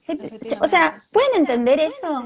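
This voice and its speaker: Loud and high-pitched, a woman speaks with a Rioplatense accent. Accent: Argentine Spanish (rioplatense). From Argentina. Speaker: video podcast host. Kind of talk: interview. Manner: naturally loud; animated.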